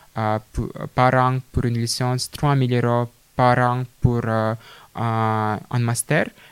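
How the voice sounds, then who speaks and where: In a Russian accent, a man talks very slowly at medium pitch with monotone, flat intonation. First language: Russian (speaking French). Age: 20s. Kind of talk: interview. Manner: halting.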